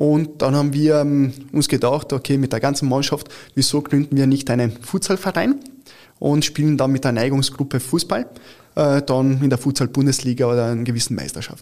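On a very clean recording with a silent background, a man with an Italian accent speaks at a moderate pace, his fairly high voice dark and mellow in tone, with fairly even intonation. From Italy, Turin; since age 12 in Carinthia, Austria. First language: Italian (speaking German). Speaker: futsal club founder and official. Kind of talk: interview. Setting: studio.

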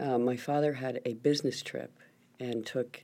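In a very clean recording with a silent background, a woman speaks fairly slowly at a very deep, low pitch, her dark, mellow tone marked by vocal fry and fairly even intonation. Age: 60s. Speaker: political fundraiser and philanthropist. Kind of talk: interview. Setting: studio.

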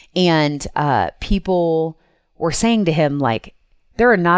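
With an ordinary speaking voice at a fairly low pitch, a woman speaks at a fairly slow pace with lively intonation, on a very clean recording with a silent background. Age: 40s. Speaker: intuitive coach and entrepreneur. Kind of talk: casual interview chat.

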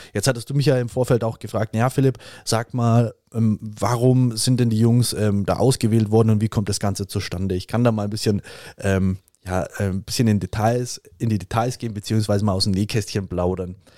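A man with a normal speaking voice, fairly low in pitch with fairly even intonation, in a dry, close sound with no echo on a very clean recording with a silent background. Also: moderate pace. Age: 30s. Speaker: triathlon team captain. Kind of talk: podcast interview. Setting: studio.

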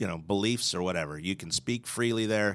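With an American accent, a man talks at a fairly quick pace in an ordinary speaking voice, fairly low in pitch, with ordinary pitch variation. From Philadelphia area, US Northeast. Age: 50s. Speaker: restaurant owner and artist. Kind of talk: casual interview chat. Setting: podcast studio.

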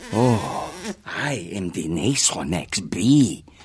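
Using a put-on character voice, a man speaks at a very slow pace with a fairly low pitch.

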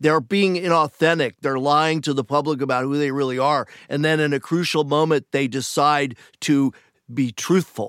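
It's a plain, everyday voice at a moderate pace, with fairly even intonation and very even loudness. The sound is dry and close with no echo, on a very clean recording with a silent background. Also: man, fairly high pitch for a man. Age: 60s. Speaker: television writer. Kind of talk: casual interview chat.

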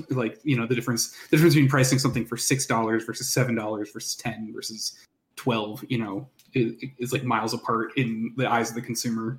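Somewhat breathy, a man speaks very fast with monotone, flat intonation. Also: medium pitch for a man. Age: 30s. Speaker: indie game developer. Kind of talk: casual chat.

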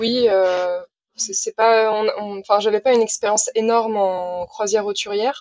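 A woman's fairly high-pitched, monotone voice with flat intonation at a fairly slow pace. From Brittany, Saint-Malo. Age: 20s. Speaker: sailor running a library sailboat project. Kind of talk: casual interview.

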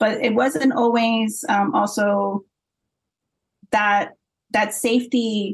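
Speaking at a very slow pace with an American accent, the voice is somewhat breathy, with fairly even intonation and long, frequent pauses. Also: woman, fairly high pitch for a woman. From Florida, US. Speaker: breakdancer and commentator. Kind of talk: interview.

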